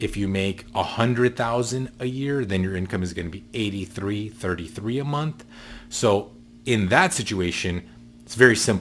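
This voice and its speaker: A man with a plain, everyday voice talks at a fairly low pitch and moderate pace, with ordinary pitch variation. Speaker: mortgage loan advisor. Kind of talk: tutorial.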